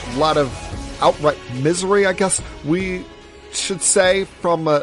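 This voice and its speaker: A man speaks in an American accent with music in the background. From New Jersey, USA. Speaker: sports-talk podcast host. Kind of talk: sports-talk podcast monologue. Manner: passionate, opinionated.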